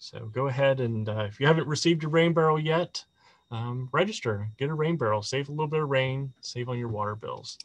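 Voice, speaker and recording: Over a quiet background, a man with an American accent speaks at a fairly quick pace in a somewhat breathy voice with ordinary pitch variation. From West Virginia. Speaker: city sustainability office staff, webinar host; webinar host. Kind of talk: webinar presentation. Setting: online webinar. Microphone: video call.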